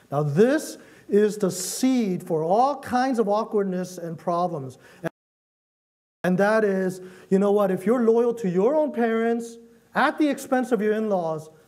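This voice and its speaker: A high-pitched man's voice with lively intonation at a fairly slow pace, with audible room echo. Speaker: pastor. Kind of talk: sermon.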